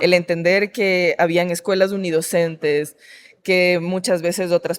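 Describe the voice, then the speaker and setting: Her voice sits fairly low, with a coastal Ecuadorian accent. This woman speaks at a fairly slow pace in a monotone, flat way. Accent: Esmeraldas coastal Ecuadorian. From Ecuador, Esmeraldas. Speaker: artist and anti-racist activist. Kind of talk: interview conversation.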